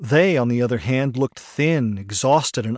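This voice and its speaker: A man at a medium pitch and fairly slow pace, with ordinary pitch variation, a dry, close sound with no echo and a quiet background. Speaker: audiobook narrator. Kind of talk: dramatic audiobook narration of a first-person war memoir. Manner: grave, measured, somber storytelling pace; quietly dramatic, with reflective, emotional weight.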